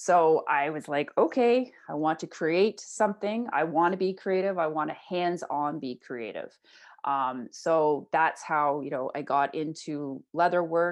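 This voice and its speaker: A woman with an Ontario accent, fairly low in pitch, with lively intonation, a fairly slow pace and hardly any pauses, against a quiet background. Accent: Canadian (Ontario). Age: 40s. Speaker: entrepreneur and mental health advocate. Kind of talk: interview conversation.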